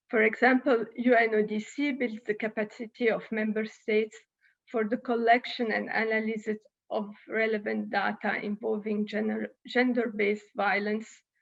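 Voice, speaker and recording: In an Italian accent, a woman with a fairly high pitch speaks at a moderate pace in a monotone, flat intonation. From Italy. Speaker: UN official speaker. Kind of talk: conference speech. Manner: halting.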